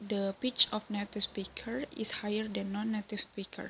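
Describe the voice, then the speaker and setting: A woman with an Indonesian accent speaks at a fairly high pitch. Her tone is bright and sharp. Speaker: university student. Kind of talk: class presentation.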